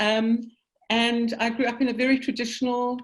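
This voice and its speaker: This is a woman speaking. She talks with a South African accent. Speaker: synagogue general manager. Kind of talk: interview. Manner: hesitant, many ums.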